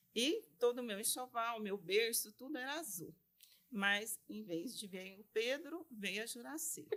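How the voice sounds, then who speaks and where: A woman with an unremarkable speaking voice talks fairly slowly at a fairly high pitch. Her intonation is lively and her loudness swings widely. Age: 60s. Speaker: lawyer and business association vice-president. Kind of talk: interview.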